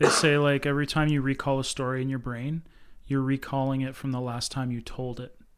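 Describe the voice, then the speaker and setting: At a fairly quick pace, a man talks in a medium pitch with monotone, flat intonation. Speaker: host's husband. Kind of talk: casual chat.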